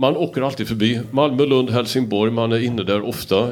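A man speaking with fairly even intonation. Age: 60s. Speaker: moderator. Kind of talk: panel discussion.

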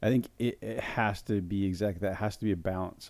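This man has an ordinary speaking voice, a fairly low pitch and an American accent, talking at a moderate pace with fairly even intonation. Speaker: youth pastor. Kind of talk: casual chat.

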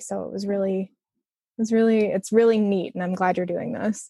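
A woman speaks at a medium pitch in a flat monotone with an American accent, recorded very cleanly against a silent background with a dry, close sound and no echo. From Chicago area, Illinois. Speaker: user experience designer. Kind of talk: casual interview.

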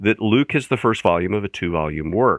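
His voice is fairly low. This man talks with an American accent. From US Midwest (Central Indiana, Indianapolis area). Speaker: New Testament professor. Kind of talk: podcast interview.

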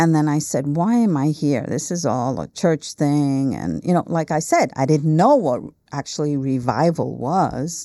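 Speaking with an American accent, a woman uses a very deep, low pitch and a dark, mellow tone with ordinary pitch variation. She talks at a fairly slow pace with hardly any pauses, in a very clean recording with a silent background. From Milwaukee, Wisconsin, US Midwest. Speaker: guest sharing her faith testimony. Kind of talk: personal testimony interview. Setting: studio.

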